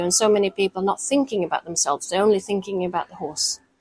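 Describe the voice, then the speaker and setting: Recorded with a dry, close sound and no echo, a woman speaks with a Norwegian accent at a medium pitch. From Norway. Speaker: company founder and dressage rider. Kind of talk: interview.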